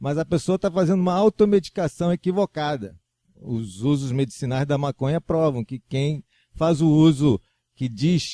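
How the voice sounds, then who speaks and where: In a dry, close sound with no echo, a man with a fairly high pitch and a dark, mellow tone speaks at a moderate pace with lively intonation. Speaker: religious teacher. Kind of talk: religious lecture. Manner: casual, conversational.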